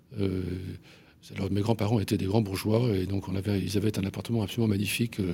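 Clear background noise accompanies speech with fairly even intonation. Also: man. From Paris, France. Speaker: journalist and essayist. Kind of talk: radio interview. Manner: halting, many hesitations.

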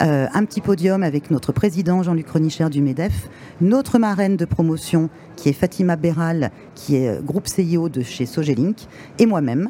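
Fairly low-pitched female speech, moderately paced, with ordinary pitch variation amid noticeable background noise. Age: 50s. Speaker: director of business schools. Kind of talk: interview. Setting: trade fair radio stand.

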